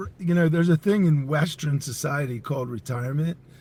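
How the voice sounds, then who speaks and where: A man with a fairly high voice speaks at a fairly quick pace and with ordinary pitch variation, over noticeable background noise. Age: 60s. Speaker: entrepreneur and company CEO. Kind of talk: podcast interview.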